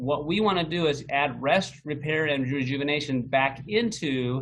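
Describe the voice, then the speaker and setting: A man talks in a normal speaking voice, his pitch fairly high, his pace moderate, and his pitch variation ordinary. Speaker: health coach presenter. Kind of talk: webinar presentation.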